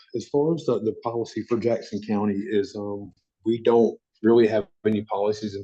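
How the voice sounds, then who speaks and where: Delivered at a moderate pace with an American accent, the voice has a dark, mellow tone and big swings in loudness. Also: man. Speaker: county emergency manager. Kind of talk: conference call Q&A. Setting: conference call while in another meeting.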